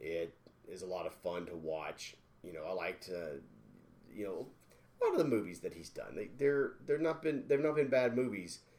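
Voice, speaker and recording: A man speaks at a fairly quick pace but with long, frequent pauses, his loudness swinging widely. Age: 40s. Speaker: podcast co-host. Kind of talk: casual chat. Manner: animated.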